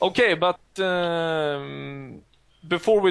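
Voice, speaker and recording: A man with a Swedish accent and fairly even intonation. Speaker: podcast host. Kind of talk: casual chat. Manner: halting.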